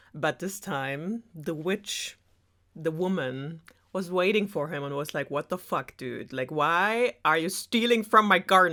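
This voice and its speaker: A woman speaks in a German accent at a fairly low pitch and fairly slow pace. Her intonation is lively, on a very clean recording with a silent background. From Germany. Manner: sarcastic.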